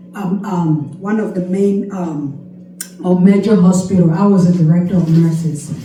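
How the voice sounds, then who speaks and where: With noticeable background noise and audible room echo, a woman speaks at a medium pitch with ordinary pitch variation. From Cameroon. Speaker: nurse and health coach. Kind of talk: testimony. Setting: church, speaking to congregation. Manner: animated, emphatic.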